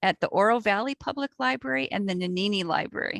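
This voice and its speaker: A woman's medium-pitched voice at a fairly quick pace, dry and close with no echo. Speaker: librarian. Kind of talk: webinar interview. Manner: fast.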